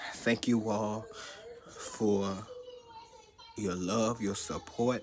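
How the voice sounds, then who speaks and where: Very slowly and in a monotone, flat way, a man talks with a fairly low pitch amid noticeable background noise. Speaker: YouTuber sharing health update. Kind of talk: personal vlog testimony. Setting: talking to camera.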